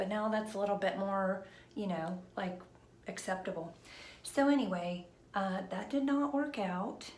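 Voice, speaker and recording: A woman whispers at a fairly slow pace, with audible room echo and noticeable background noise. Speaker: vlogger. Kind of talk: casual chat. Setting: live stream at home. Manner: whispering; hesitant, many fillers.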